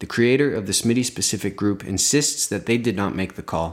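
An ordinary speaking voice with a Canadian accent and lively intonation comes through at a moderate pace in a very clean recording with a silent background. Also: man. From Belleville, Ontario, Canada. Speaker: podcast host. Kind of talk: scripted narration.

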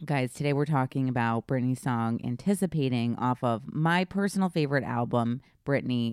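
In a very clean recording with a silent background and a dry, close sound with no echo, a woman with a very deep, low pitch talks in an animated tone at a moderate pace with ordinary pitch variation. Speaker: podcast host. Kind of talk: casual chat. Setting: hotel room.

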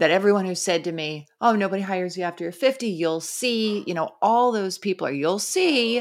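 A woman speaks in an ordinary speaking voice at a medium pitch and a moderate pace. Her intonation is lively. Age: 40s. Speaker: podcast co-host. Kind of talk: casual chat.

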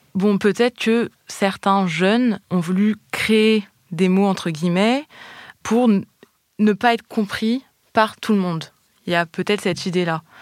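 A woman talks at a very slow pace, her pitch medium and her intonation fairly even. Her loudness stays very even, and the sound is dry and close with no echo. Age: 30s. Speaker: linguistics doctoral student. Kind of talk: interview. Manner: hesitant, many fillers.

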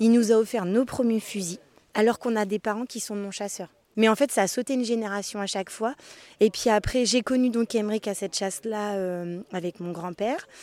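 A woman's fairly high-pitched voice with a dark, mellow tone and fairly even intonation at a fairly quick pace, in a dry, close sound with no echo on a very clean recording with a silent background. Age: 30s. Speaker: nurse and hunter. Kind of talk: interview. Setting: outdoors, forest.

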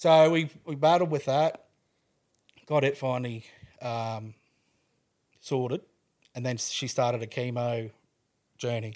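A man's medium-pitched voice with an Australian accent, fairly slow and broken by long, frequent pauses, with ordinary pitch variation, in a very clean recording with a silent background. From Queensland, Australia (Toowoomba). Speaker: widower and cancer carer sharing his story. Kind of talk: casual interview, personal testimony.

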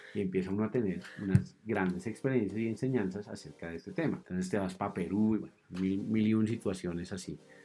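Very fast pace from a man with a fairly low pitch and ordinary pitch variation. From Colombia, Cundinamarca (Suesca/Zipaquirá). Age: 30s. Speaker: mountain guide. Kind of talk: casual interview chat. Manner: hesitant, many fillers.

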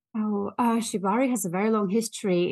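In a Russian accent, a woman speaks with ordinary pitch variation over a quiet background. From Russia and Germany. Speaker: fashion brand founder. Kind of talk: casual interview chat.

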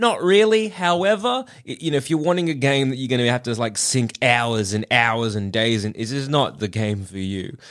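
With an Australian accent, a man speaks at a moderate pace and a medium pitch. His pitch swings very widely. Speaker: podcast host. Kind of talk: casual chat.

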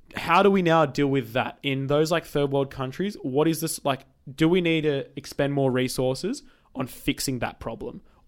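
With an unremarkable speaking voice, a man talks at a moderate pace, fairly high in pitch, with ordinary pitch variation. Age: 20s. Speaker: podcast co-host. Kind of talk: casual chat.

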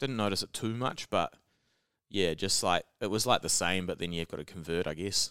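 A man's fairly low voice with a New Zealand accent, bright and sharp in tone, fairly quick, with ordinary pitch variation and a dry, close sound with no echo. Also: very clean recording, silent background. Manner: casual, joking.

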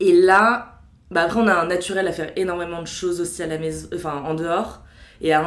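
Noticeable background noise sits behind this voice. It moves at a fairly quick pace with fairly even intonation. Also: woman. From Paris, France. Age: 20s. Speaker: HR worker. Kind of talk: casual chat.

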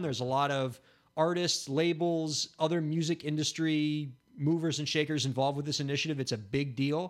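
On a very clean recording with a silent background, the words arrive at a fairly quick rate. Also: man. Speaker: podcast host. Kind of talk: casual chat. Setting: studio. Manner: animated.

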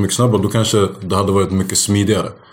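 Very fast speech from a man amid noticeable background noise and audible room echo. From Sweden. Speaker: stand-up comedian. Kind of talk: casual chat.

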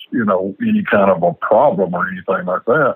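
Here a man talks in a Southern US accent with ordinary pitch variation. The sound is dry and close, with no echo. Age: 60s. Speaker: parent. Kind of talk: interview.

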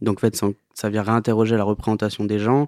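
The delivery is monotone with flat intonation on a very clean recording with a silent background and a dry, close sound with no echo. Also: man. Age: 30s. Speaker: band leader, musician. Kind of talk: interview. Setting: home studio. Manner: halting.

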